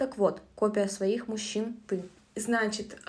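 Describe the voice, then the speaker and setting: Fairly even intonation comes through with noticeable background noise and audible room echo. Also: woman. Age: 20s. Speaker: book podcast co-host. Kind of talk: casual book discussion.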